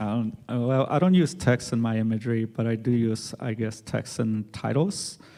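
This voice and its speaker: Speaking with a Spanish accent, a man keeps a moderate pace and medium pitch, with ordinary pitch variation and hardly any pauses. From Mexico, raised in US. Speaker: artist. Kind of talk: panel discussion.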